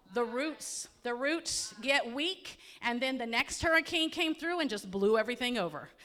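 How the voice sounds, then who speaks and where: In a Central Florida accent, a woman speaks at a moderate pace with a high pitch, a bright, sharp tone, and lively intonation. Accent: Polk County, Florida. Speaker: county emergency management presenter. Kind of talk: community presentation. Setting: hall with audience. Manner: conversational, engaging audience.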